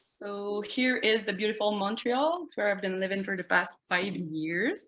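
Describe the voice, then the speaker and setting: Speaking at a fairly slow pace with a Quebec accent, a woman uses medium pitch and ordinary pitch variation. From Quebec City, Canada. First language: French. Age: 20s. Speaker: glass artist. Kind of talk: artist presentation. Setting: video call.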